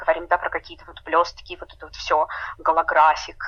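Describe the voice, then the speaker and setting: A woman speaks at a moderate pace. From Murmansk, Russian Arctic. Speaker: cosmetics brand founder. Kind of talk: interview. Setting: remote call.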